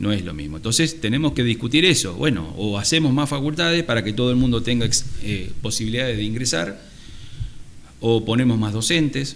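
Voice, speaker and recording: A man with an Argentine accent talks at a fairly quick pace and medium pitch, his intonation lively, with audible room echo. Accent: Rioplatense Argentine Spanish. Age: 60s. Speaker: surgeon and university lecturer. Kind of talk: interview conversation.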